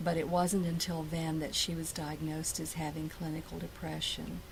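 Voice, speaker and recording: A woman with an American accent speaks at a moderate pace in a very deep, low pitch. Her intonation is monotone and flat, and the room echo is audible. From Ashland, Virginia. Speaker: oral history interviewee. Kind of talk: oral history interview.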